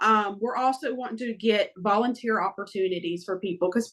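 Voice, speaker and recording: Against a quiet background, a woman talks at a fairly quick pace in a Southern accent. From Florida. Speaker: family court reform advocate. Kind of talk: podcast interview. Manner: hesitant, many fillers.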